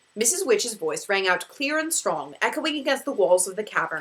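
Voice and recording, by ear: The speaker reads aloud. The voice is natural.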